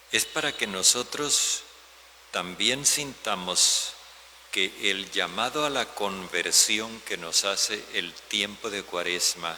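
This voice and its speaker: Through noticeable background noise, a man speaks at a very slow pace with ordinary pitch variation. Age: 70s. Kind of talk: homily.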